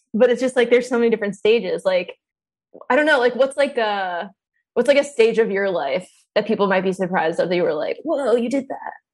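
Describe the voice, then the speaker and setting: Delivered in a New Jersey accent, the speech runs at a very fast pace. Its intonation is lively. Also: woman, fairly high pitch for a woman. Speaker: comedian. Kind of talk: casual chat.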